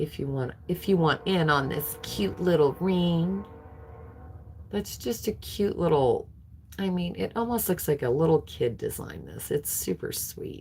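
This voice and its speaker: A woman talks at a fairly slow pace with an American accent. Music plays in the background. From California. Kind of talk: live auction stream. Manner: slurring words.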